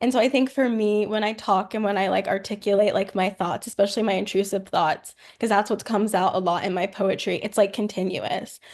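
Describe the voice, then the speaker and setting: A woman at medium pitch with a plain, everyday voice, fairly even intonation and hardly any pauses. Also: fairly quick pace. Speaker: poet. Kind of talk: interview.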